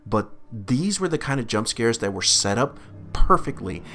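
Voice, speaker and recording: A man's voice with music in the background. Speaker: film reviewer. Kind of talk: casual unscripted film review. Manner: stuttering; halting.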